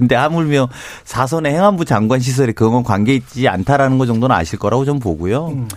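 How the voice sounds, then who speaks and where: A man with a plain, everyday voice talks at a fairly quick pace. His medium-pitched delivery has lively intonation. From Chungcheong, South Korea. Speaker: ruling party lawmaker. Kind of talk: political talk show debate.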